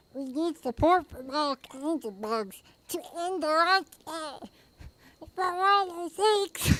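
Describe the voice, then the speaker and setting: A put-on character voice, squeaky and high, speaks at a fairly slow pace. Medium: virtual streamer. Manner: enthusiastic.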